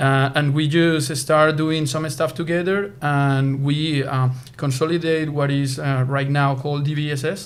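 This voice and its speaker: A man with a Spanish accent and a fairly high voice, at a fairly slow pace with hardly any pauses and monotone, flat intonation. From Colombia, Bogotá. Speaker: sports nutrition scientist. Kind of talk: interview. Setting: conference venue. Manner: halting, many fillers.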